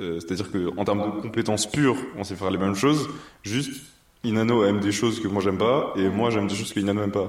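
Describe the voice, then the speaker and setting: With audible room echo, a man with a fairly low voice speaks at a fairly quick pace and with fairly even intonation. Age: 20s. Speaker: journalist and business co-founder. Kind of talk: casual interview. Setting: kitchen showroom.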